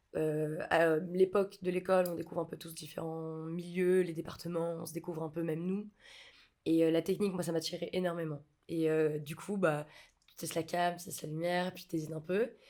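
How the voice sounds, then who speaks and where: Her dark, mellow voice sits fairly low and stays flat and monotone while its loudness swings widely. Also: moderate pace. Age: 20s. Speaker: film set electrician. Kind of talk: podcast interview. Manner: hesitant, many fillers.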